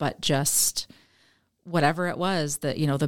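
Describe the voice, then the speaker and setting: In an Upper Midwest accent, a woman speaks at a very deep, low pitch. Her intonation is fairly even and her pace moderate. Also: very clean recording, silent background. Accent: Upper Midwest American. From Michigan, US Midwest. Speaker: author and teacher. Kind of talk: interview testimony.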